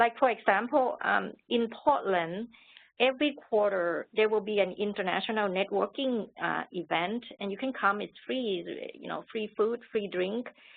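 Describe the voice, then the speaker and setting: This woman talks at a fairly slow pace, and her pitch varies in an ordinary way. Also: fairly high pitch for a woman. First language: not English. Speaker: international business professional, panelist. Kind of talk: webinar panel advice. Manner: halting.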